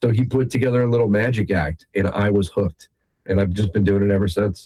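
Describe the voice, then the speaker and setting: A man's fairly low, somewhat breathy voice with a dark, mellow tone, very fast pace, fairly even intonation and very even loudness. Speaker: magician. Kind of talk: interview.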